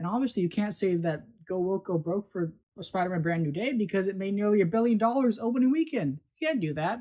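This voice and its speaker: Her intonation lively, a woman speaks in a somewhat breathy voice. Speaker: video commentator. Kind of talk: casual commentary monologue. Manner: slurring, stumbling over words.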